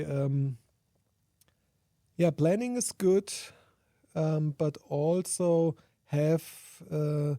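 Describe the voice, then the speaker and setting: In a German accent, a man with a dark, mellow tone speaks very slowly with lively intonation, the sound dry and close with no echo. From Germany. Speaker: sustainability researcher and conference organiser. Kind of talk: interview. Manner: halting.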